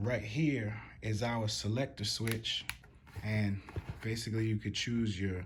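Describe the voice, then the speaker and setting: At a very slow pace, a man speaks in a monotone, flat intonation. His voice is somewhat breathy and medium in pitch. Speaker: gun reviewer. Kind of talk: product review tutorial. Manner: casual.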